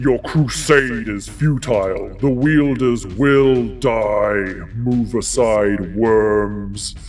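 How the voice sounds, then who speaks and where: Bellowing in a put-on character voice at a medium pitch, a man speaks at a very slow pace with hardly any pauses over clear background noise. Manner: bellowing, menacing.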